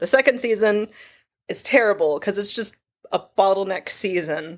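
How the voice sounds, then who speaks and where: A woman with an American accent, an ordinary speaking voice at medium pitch and moderate pace, on a very clean recording with a silent background. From Texas. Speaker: sound designer and Foley artist. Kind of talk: casual interview chat. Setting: in-person studio recording.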